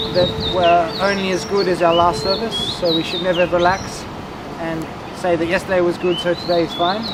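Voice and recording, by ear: The voice shows little pitch movement at a moderate pace, with clear background noise behind it. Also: man.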